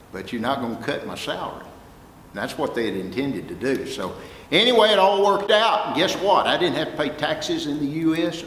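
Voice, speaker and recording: Amid audible room echo and noticeable background noise, a man with a Texas accent speaks at a fairly quick pace and fairly high pitch, in an animated tone with very wide pitch swings. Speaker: music professor and record producer. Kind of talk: guest talk to students. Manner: animated storytelling.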